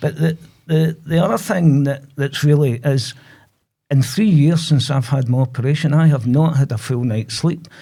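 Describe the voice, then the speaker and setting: A man with a Glasgow accent speaks at a moderate pace in a fairly high pitch, his somewhat breathy voice dark and mellow in tone, with ordinary pitch variation. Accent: Scottish (Glasgow). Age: 60s. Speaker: prostate cancer patient. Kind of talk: testimony. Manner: halting.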